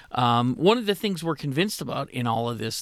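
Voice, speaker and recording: A man talks at a fairly quick pace in a medium pitch, in an ordinary speaking voice. The recording is very clean, with a silent background. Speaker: radio co-host, food bank executive. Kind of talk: radio talk show discussion. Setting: radio studio. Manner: friendly, casual.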